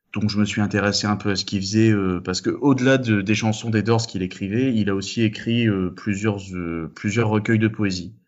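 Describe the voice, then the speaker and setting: A fairly low-pitched man talks at a fairly quick pace with monotone, flat intonation. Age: 20s. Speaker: physics student. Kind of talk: casual chat. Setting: Skype call.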